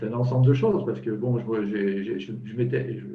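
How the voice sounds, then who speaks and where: A man at medium pitch, somewhat breathy and fairly quick, with ordinary pitch variation and audible room echo. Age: 60s. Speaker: client giving testimony. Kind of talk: testimony. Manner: halting, many repetitions.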